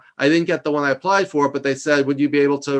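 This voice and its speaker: Speaking with a New York accent, this man has a fairly high pitch and a monotone, flat intonation. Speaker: leadership consultant and executive coach. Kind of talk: interview. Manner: loud; fast.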